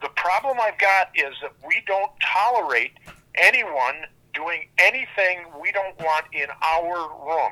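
With an American accent, a man projects his high-pitched voice very slowly in a bright, sharp tone with lively intonation, the sound dry and close with no echo. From Michigan, Lansing. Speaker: pinball arcade owner. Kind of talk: interview.

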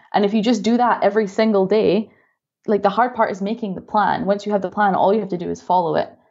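A woman with a Scottish accent talks at a very fast pace, her medium pitch held in fairly even intonation. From Scotland. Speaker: dessert blogger and business coach. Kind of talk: casual interview.

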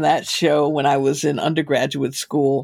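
A woman's warm tone with an American accent. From US Northeast, Boston. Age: 70s. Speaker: novelist and playwright. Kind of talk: interview conversation. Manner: warm, laughs often.

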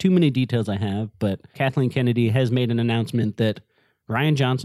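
With a quiet background, someone reads in an unforced voice.

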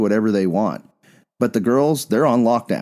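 In a very clean recording with a silent background, a man talks at a medium pitch in a dark, mellow tone. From Bisbee, Arizona, US Southwest. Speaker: podcast host. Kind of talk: casual conversational podcast discussion.

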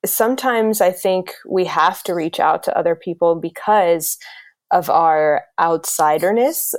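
Here is a normal speaking voice: a woman with an American accent, fairly low in pitch with ordinary pitch variation. She speaks at a fairly slow pace in a very clean recording with a silent background. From US South, South Carolina. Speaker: intercultural educator and consultant. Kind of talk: interview.

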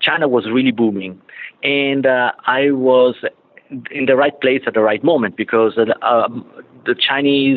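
Fairly even intonation at a moderate pace, with an Italian accent. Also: man. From Italy. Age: 50s. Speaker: automotive business development executive. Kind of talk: interview. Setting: remote call from client site. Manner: halting.

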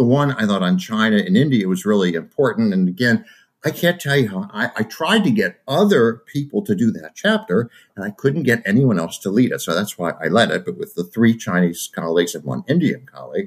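At a fairly quick pace, a man talks in an American accent at medium pitch. His pitch swings very widely. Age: 70s. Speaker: professor. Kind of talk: interview.

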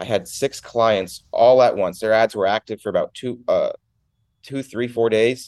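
A man with an American accent speaks at a moderate pace and medium pitch, his intonation fairly even and his voice an unremarkable speaking voice, with a dry, close sound and no echo. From Connecticut, US. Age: 20s. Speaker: phone reselling entrepreneur. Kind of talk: casual interview.

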